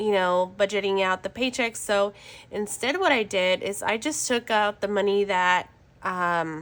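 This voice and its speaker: A woman speaks at a fairly slow pace with medium pitch and ordinary pitch variation. The recording is very clean, with a silent background. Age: 20s. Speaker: budgeting vlogger. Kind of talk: casual vlog. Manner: halting.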